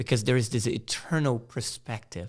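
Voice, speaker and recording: A man's pitch varies in an ordinary way, captured in a very clean recording with a silent background. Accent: Portuguese. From Brazil, Rio de Janeiro. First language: Portuguese. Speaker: missionary. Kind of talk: sermon.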